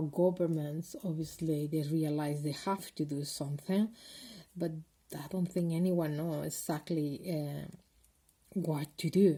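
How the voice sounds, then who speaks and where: In a Spanish accent, a woman talks with a fairly low pitch, a dark, mellow tone, a somewhat breathy quality, and fairly even intonation. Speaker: video blogger. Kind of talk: personal vlog monologue. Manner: halting, many fillers.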